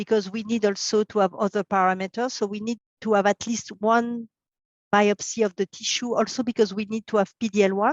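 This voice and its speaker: A woman with a French accent at medium pitch, at a fairly quick pace, with monotone, flat intonation and a dry, close sound with no echo. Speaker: pathologist. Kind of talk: expert interview. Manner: halting, many fillers.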